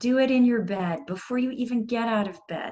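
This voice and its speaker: A woman speaks in a calm tone with ordinary pitch variation. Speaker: yoga and mindfulness instructor. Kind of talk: workshop instruction. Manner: slow.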